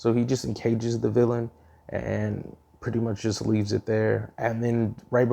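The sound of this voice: An unforced reading voice carries the whole clip.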